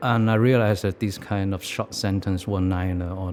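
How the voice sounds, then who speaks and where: Speaking at a moderate pace with a Hong Kong accent, a man uses a very deep, low pitch and fairly even intonation. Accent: Hong Kong Cantonese-accented English. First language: Cantonese. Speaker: artist. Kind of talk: interview monologue. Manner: reflective.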